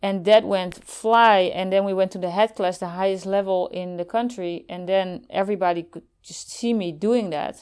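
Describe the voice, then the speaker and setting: With a Dutch accent, the speaker goes at a moderate pace with hardly any pauses and fairly even intonation. The loudness swings widely. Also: woman, medium pitch for a woman. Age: 50s. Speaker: former Olympic softball player. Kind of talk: interview. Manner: halting.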